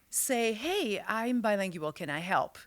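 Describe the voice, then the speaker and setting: A woman with a Quebec accent talks with lively intonation and a bright, sharp tone. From Quebec City. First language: French. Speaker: business strategist and author. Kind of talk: interview. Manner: animated.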